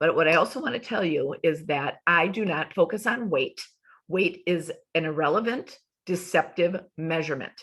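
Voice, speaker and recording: The speaker goes at a moderate pace with ordinary pitch variation. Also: woman, fairly low pitch for a woman. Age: 60s. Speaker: health coach. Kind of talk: online class presentation.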